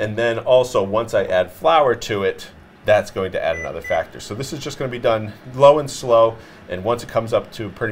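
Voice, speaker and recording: A man with a Massachusetts accent speaks at a fairly quick pace with big swings in loudness. Light background noise can be heard. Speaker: chef; chef host. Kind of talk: cooking tutorial. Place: studio. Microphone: lapel.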